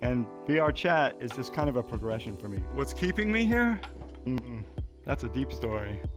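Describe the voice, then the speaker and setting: The tempo is moderate. Music is audible underneath. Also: man. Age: 60s. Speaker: VR gamer. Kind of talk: interview answer.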